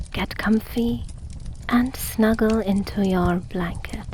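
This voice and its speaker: A soft-spoken woman talks with fairly even intonation over noticeable background noise. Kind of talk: sleep story.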